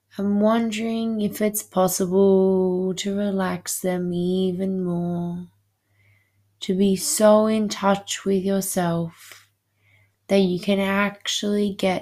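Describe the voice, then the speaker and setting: A woman's soothing, dark, mellow voice at medium pitch with monotone, flat intonation, on a very clean recording with a silent background. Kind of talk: guided hypnosis meditation. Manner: slow, soothing, hypnotic, repetitive pacing; calm, soft-spoken.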